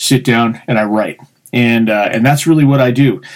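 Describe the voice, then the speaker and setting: This man has a plain, everyday voice with an American accent. His medium pitch stays fairly even at a moderate pace. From Colorado. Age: 30s. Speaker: podcast host and poet. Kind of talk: casual chat.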